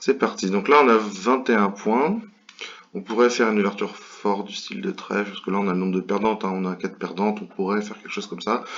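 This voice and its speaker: A man speaks very fast at a fairly low pitch with fairly even intonation. There is noticeable background noise. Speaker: bridge commentator. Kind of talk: tutorial commentary over gameplay. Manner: hesitant, many fillers.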